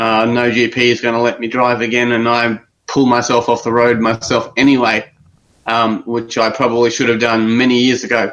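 In an Australian accent, the speaker talks at a moderate pace with very even loudness and flat, monotone intonation. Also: man, medium pitch for a man. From Australia, Brisbane area. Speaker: caller. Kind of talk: call-in discussion.

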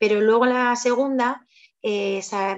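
The woman's intonation is monotone and flat. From Spain, Zaragoza (Aragon). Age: 30s. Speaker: mother telling her birth story. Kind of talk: interview testimony.

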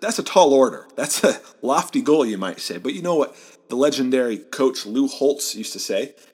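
Lively in intonation, a man with a Midwestern American accent speaks at a fairly quick pace and fairly high pitch. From Southeast Michigan. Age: 20s. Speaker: sports podcast host. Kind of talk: solo sports commentary podcast.

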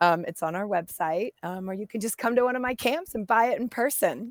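A woman talks at a fairly quick pace in a plain, everyday voice with ordinary pitch variation. The recording is very clean, with a silent background. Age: 40s. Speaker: professional mountain biker and camp founder. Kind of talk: casual interview chat.

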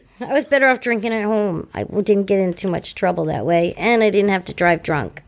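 This woman has a Boston accent and a medium pitch. She talks at a fairly quick pace in an animated tone. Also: ordinary pitch variation. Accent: Boston-area New England. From Massachusetts, South Shore. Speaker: guest in recovery. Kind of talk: casual chat. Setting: recovery center room.

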